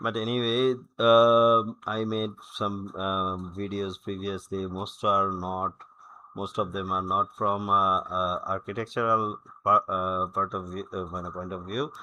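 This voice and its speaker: A man with a Bengali accent talks at a fairly slow pace, his pitch fairly low and his intonation fairly even. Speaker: software tutorial creator. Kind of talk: tutorial. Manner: halting, many fillers.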